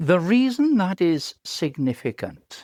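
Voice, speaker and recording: In a Welsh accent, a man with a high pitch talks at a very slow pace on a very clean recording with a silent background. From Wales. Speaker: professor. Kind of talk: interview. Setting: podcast.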